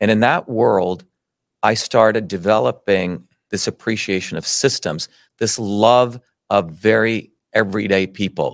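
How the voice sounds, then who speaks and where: With an American accent, a man speaks at a fairly low pitch with ordinary pitch variation and vocal fry, in a dry, close sound with no echo. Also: fairly slow pace, very clean recording, silent background. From India, then New Jersey. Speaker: scientist and presidential candidate. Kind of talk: interview. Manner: animated.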